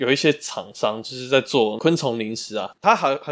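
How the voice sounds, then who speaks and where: On a very clean recording with a silent background, a man talks at a moderate pace in an ordinary speaking voice, medium in pitch with ordinary pitch variation. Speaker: podcast co-host. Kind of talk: casual chat.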